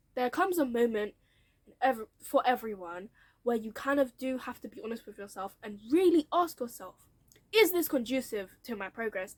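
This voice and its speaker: A woman with a British accent, fairly high pitch, lively intonation, moderate pace. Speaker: YouTuber sharing career story. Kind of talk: casual vlog storytelling.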